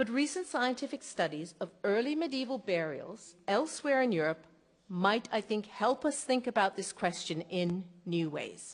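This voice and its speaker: A woman with a North American accent talks at a fairly high pitch with very wide pitch swings. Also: moderate pace. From North America, across the Atlantic. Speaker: archaeologist. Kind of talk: lecture.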